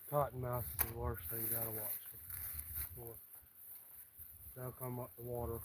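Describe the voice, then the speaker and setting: A man talks at a medium pitch in a Southern US accent. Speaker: fishing livestreamer. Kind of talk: live stream chat while fishing.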